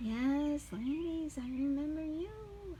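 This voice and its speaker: A woman's put-on character voice at a very slow pace, with clear background noise. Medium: read story. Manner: earnest, warm.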